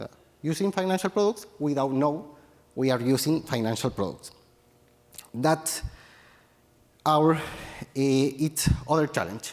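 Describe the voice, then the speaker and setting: Speaking with a Chilean accent, a man uses ordinary pitch variation and takes long, frequent pauses. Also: fairly high pitch for a man, fairly slow pace. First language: Spanish. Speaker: tech entrepreneur. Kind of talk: conference talk. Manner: halting, many fillers.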